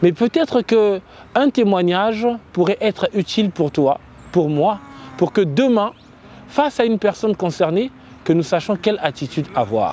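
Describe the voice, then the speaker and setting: A man with a high pitch speaks at a moderate pace with long, frequent pauses, the sound dry and close with no echo but with noticeable background noise. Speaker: web show host. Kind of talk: interview. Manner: hesitant, many fillers.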